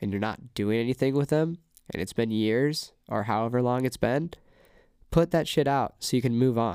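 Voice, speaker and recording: A man in a West Coast accent at medium pitch, with ordinary pitch variation, a moderate pace and a very clean recording against a silent background. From California, Ventura. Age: 20s. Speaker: singer-songwriter and DJ. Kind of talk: casual chat. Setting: recording studio.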